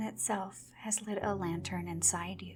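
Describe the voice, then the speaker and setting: Soft-spoken, the voice proceeds at a very slow pace. Music plays in the background. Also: woman. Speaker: voice actor. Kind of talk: sleep story. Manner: soft-spoken, slow.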